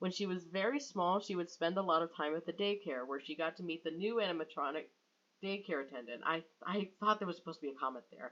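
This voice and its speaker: A woman's bright, sharp voice at a fairly low pitch, with ordinary pitch variation and a very fast pace. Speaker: fan fiction writer and YouTuber. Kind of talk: reading aloud own writing with commentary. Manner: casual, self-interrupting.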